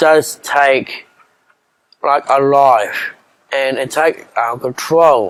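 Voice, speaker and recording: Speaking with an Australian accent, a man has a fairly high pitch. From Queensland, Australia. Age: 30s. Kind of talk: casual talk to camera. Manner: hesitant, halting.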